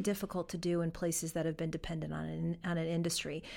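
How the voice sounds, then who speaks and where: A woman with an American accent talks at a fairly quick pace in a fairly low voice. She has an ordinary speaking voice, in a very clean recording with a silent background. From western New York (Fredonia). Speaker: foundation director. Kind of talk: interview. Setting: studio.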